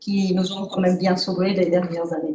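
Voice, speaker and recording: A woman's medium-pitched voice in a Czech accent, at a moderate pace, with fairly even intonation. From Czechoslovakia. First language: Czech (speaking French). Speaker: award-winning author. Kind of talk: reading aloud; acceptance speech. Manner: halting.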